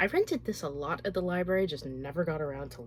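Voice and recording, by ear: A woman talks at a fast pace. Her pitch is low. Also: lively intonation.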